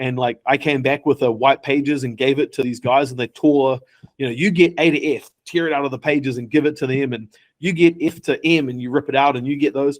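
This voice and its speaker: Fairly high-pitched male speech in a New Zealand accent, fairly quick, with a dry, close sound and no echo. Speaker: tech startup founder. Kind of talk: interview. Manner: animated.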